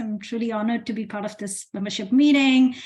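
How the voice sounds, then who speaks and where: With a non-native accent, a woman speaks in a fairly high, somewhat breathy voice. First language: not English. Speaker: equity director at a nonprofit. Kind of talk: online meeting presentation. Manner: slowed down for interpreters.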